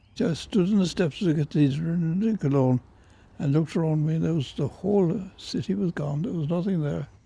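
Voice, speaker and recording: A man with a Cork accent speaks at a moderate pace with lively intonation. His tone is dark and mellow and somewhat breathy. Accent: Cork Irish. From Ireland, Cork. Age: 80s+. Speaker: centenarian, war veteran. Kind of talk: interview reminiscence. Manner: halting.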